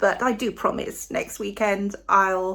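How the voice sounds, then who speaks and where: A woman with a British accent speaks at a very slow pace. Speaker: cooking channel host. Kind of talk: casual cooking vlog talk to camera. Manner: soft-spoken; trying to speak loudly.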